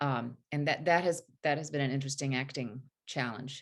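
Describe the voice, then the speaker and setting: Moderate pace from a woman in a Southern accent. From US South (North Carolina, Tennessee). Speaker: actress and singer. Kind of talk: interview.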